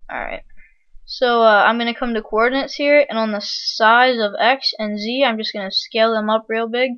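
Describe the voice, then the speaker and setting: A woman with a normal speaking voice, fairly high in pitch, at a moderate pace with fairly even intonation. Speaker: video tutorial creator. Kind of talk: software tutorial. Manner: casual with frequent fillers.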